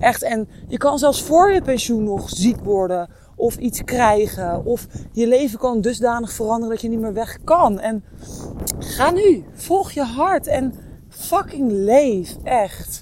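A woman speaks at a very slow pace with a fairly high pitch and very wide pitch swings. Noticeable background noise runs behind her. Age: 30s. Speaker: podcast host. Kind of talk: walking monologue. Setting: outdoors.

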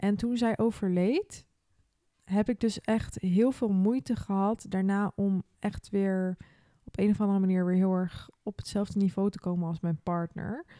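The voice has a dark, mellow tone and fairly even intonation at a fairly slow pace. The recording sounds dry and close, with no echo. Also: woman, medium pitch for a woman. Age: 20s. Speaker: podcast host. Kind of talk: casual chat.

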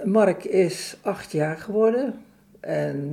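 At a very slow pace, a woman with a medium pitch and a dark, mellow tone speaks with lively intonation and vocal fry. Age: 70s. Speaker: author sharing personal loss. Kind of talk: testimony.

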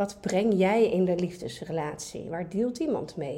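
This woman has a medium pitch and a dark, mellow tone. She speaks at a moderate pace. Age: 40s. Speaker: dating coach. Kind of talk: casual chat.

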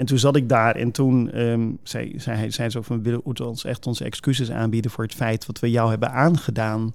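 Speaking at a moderate pace with fairly even intonation, a man has a normal speaking voice in a very clean recording with a silent background. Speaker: pastor. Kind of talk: casual chat.

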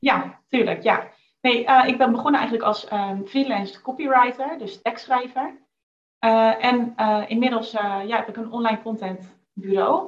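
A woman's normal speaking voice, fairly high in pitch, at a fairly slow pace, with ordinary pitch variation and big swings in loudness. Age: 20s. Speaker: copywriter and business owner. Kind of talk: casual interview. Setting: video call.

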